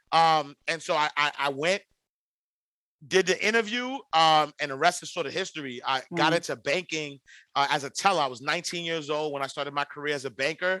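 A man with an American accent speaks at a fairly quick pace in a bright, sharp, energetic tone and a fairly high pitch, with ordinary pitch variation. The sound is dry and close with no echo over a quiet background. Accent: New York inner-city. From New York City, Harlem. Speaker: financial educator and podcaster. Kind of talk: casual interview.

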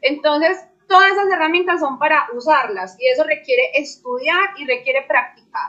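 Using a raised, projected voice, a woman talks at a moderate pace and high pitch with lively intonation and hardly any pauses. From Colombia, Medellín. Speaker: crypto trader. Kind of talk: panel discussion.

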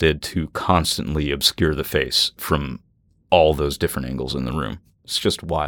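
A man talks at a fairly slow pace with vocal fry. The sound is dry and close with no echo, on a very clean recording with a silent background. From Natchez, Mississippi. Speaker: paranormal podcaster. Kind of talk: casual chat.

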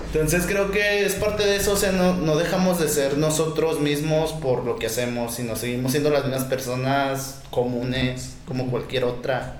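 A fairly high-pitched man at a moderate pace with hardly any pauses, amid audible room echo and noticeable background noise. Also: ordinary pitch variation. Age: 20s. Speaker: rapper and video maker. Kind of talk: casual interview.

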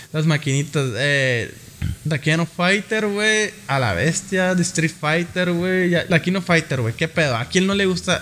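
A man speaks at a fairly slow pace with a high voice. His pitch moves up and down in an ordinary way. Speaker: podcast co-host. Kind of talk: casual chat. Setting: studio.

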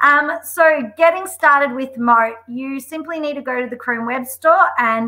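Lively intonation marks a woman speaking in an Australian accent. Her tone is bright and sharp and her pace fairly slow. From Australia, Melbourne. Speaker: school deputy head and edtech community leader. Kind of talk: webinar software demo. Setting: video call. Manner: enthusiastic.

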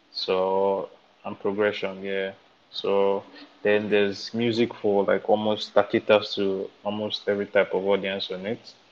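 Speaking at a fairly slow pace, a man talks with a Nigerian accent. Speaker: music podcast co-host. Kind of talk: casual chat.

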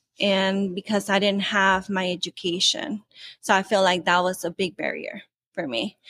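A plain, everyday voice speaks at a fairly slow pace with ordinary pitch variation. The recording is very clean, with a silent background and a dry, close sound with no echo. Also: woman. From California, Mexican heritage. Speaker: corporate employee and employee group leader. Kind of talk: interview.

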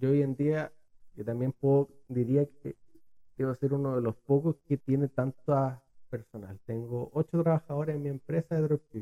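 A man with a Chilean accent speaks at a moderate pace in a dark, mellow tone, fairly high in pitch, with fairly even intonation and a dry, close sound with no echo. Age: 20s. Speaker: entrepreneur. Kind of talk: podcast interview.

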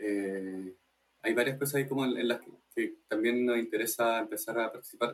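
A man's unremarkable speaking voice, medium in pitch, moderately paced, with fairly even intonation. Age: 20s. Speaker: arts cooperative member. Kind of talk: casual interview.

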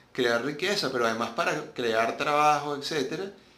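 A man with a medium-pitched voice speaks at a moderate pace with lively intonation, and the room echo is audible. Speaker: podcast host. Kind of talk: solo monologue commentary.

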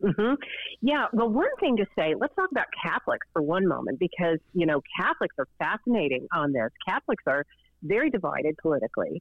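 Talking at a fairly quick pace with very even loudness, a woman of medium pitch moves through very wide pitch swings. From US South, Chattanooga, Tennessee. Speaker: professor. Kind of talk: interview. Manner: hesitant fillers.

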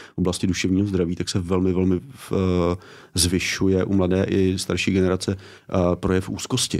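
A man with a very deep, low pitch and monotone, flat intonation, in a very clean recording with a silent background. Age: 40s. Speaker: author and education commentator. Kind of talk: interview conversation. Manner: hesitant with fillers.

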